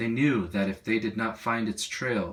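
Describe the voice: The pitch shifts in an ordinary way. The delivery is plain reading aloud.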